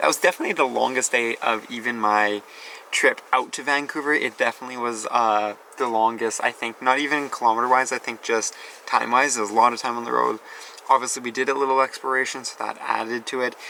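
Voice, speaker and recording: At a fairly quick pace, a man with a normal speaking voice talks at a medium pitch with fairly even intonation. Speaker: travel vlogger. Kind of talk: casual vlog narration. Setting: outdoors at campsite by river.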